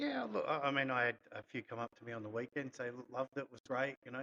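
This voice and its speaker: A man with an Australian accent speaks at a fairly quick pace in a bright, sharp tone and with fairly even intonation. The sound is dry and close, with no echo. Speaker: golf club podcast host. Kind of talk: casual chat.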